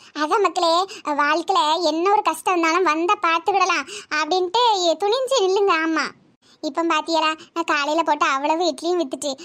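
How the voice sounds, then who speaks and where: A woman performs a cartoonish character voice at an extremely high pitch. She keeps a moderate pace and very even loudness. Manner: warm, chatty, homely.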